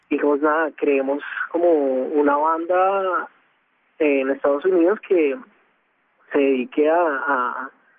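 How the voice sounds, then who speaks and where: A man speaks with ordinary pitch variation. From Colombia. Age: young. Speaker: NGO volunteer and musician. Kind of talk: interview. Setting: phone call. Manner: halting.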